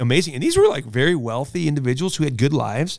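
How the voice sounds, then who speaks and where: This man has an American accent and a fairly high pitch with ordinary pitch variation. The recording is very clean, with a silent background. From US Midwest. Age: 40s. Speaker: pastor. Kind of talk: casual chat.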